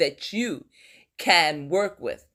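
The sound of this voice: A woman speaks with lively intonation. The recording is very clean, with a silent background.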